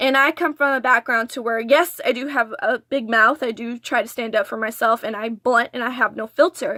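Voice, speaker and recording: In an American accent, a woman speaks at a moderate pace in a high, bright, sharp tone with ordinary pitch variation, the sound dry and close with no echo. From Texas border region. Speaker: vlogger. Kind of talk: story time vlog. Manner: stuttering.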